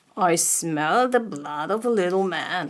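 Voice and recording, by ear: A put-on character voice, female-sounding and booming, at a middle pitch and a fairly slow pace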